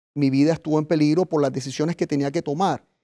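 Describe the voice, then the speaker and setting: The man's voice is fairly high-pitched with a dark, mellow tone. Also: quiet background. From Colombia, Caribbean coast (Arjona, Bolívar); Colombia. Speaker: former city councilor, political refugee; interview guest, former mayor. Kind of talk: interview. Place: studio. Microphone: lapel.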